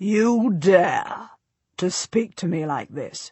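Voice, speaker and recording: A woman's put-on, growling character voice at medium pitch and a very slow pace. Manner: furious.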